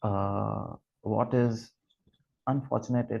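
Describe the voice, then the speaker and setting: A man with a Gujarati accent, a fairly low pitch and vocal fry. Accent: Indian English, Gujarati. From Gujarat, India. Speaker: literature scholar. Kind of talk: lecture. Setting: video call. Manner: halting, many fillers.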